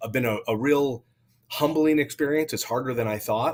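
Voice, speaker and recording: The voice is a man's. It rises and falls in a normal way. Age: 40s. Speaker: real estate investor and coffee shop owner. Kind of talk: interview. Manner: halting, with many repeated words.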